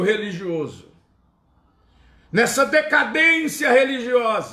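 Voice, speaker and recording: A man's raised, projected voice with lively intonation at a very slow pace. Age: 60s. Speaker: pastor. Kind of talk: sermon.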